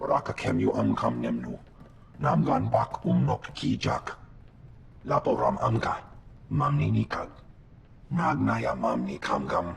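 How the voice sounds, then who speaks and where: Putting on a character voice with a very deep, low pitch, a man speaks at a moderate pace with long, frequent pauses over clear background noise. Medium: video game. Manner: speaks only an alien language.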